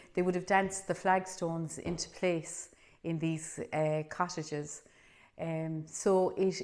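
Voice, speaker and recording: In a Cork accent, a woman with a fairly low pitch talks at a very slow pace with fairly even intonation. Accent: Irish, Cork. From Ireland. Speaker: storyteller. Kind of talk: spoken introduction to camera.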